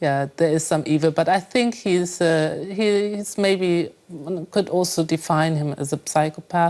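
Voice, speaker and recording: Fairly low in pitch, a woman speaks at a fairly slow pace in a German accent. Her pitch variation is ordinary, and the recording is very clean with a silent background. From Germany. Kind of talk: interview answer.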